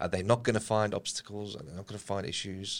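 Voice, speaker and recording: A man with an Australian accent at a fairly quick pace, very clean recording with a silent background. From Australia, Lebanese family. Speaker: political analyst and volunteer. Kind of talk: casual interview.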